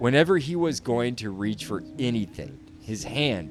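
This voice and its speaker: Music behind a man's moderately paced speech. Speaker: podcast host, audiobook narrator. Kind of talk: ghost story narration.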